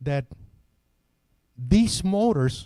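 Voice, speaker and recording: With a Venezuelan accent, a man speaks at a very slow pace and fairly high pitch, with a dark, mellow tone and very wide pitch swings. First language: Spanish. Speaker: product trainer. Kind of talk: technical seminar presentation. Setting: hotel seminar with live audience. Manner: repetitive, stammering restarts.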